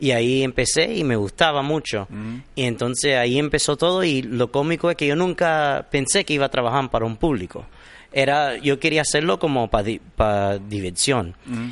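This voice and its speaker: A man with a medium pitch speaks at a moderate pace, his intonation lively. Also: quiet background. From Miami, US, Cuban-American family. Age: young. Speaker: magician. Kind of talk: interview. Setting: theater studio. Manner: relaxed.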